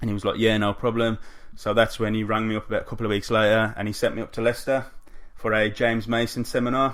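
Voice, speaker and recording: Speaking very fast, a man holds a medium pitch with monotone, flat intonation. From West Midlands, England (Tipton, near Wolverhampton). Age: 20s. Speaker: professional wrestler. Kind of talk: interview. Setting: face-to-face interview, broadcast live on Facebook.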